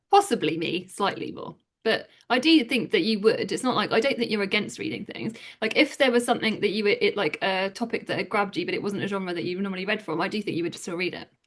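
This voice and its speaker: A woman speaks very fast with an English accent. Her pitch is medium and her intonation lively. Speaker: book youtuber. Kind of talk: casual chat.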